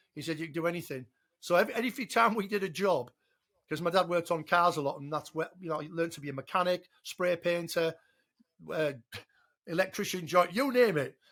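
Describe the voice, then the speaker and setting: A man with an English accent and a high pitch, very fast with long, frequent pauses, ordinary pitch variation and big swings in loudness, on a very clean recording with a silent background. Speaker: father of the podcast host. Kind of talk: casual chat.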